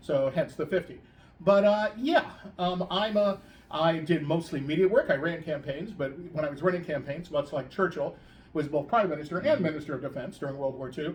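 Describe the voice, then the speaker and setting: A man speaks fairly quickly in a normal speaking voice, his fairly high pitch moving with ordinary variation. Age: 60s. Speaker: political operative. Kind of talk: casual chat.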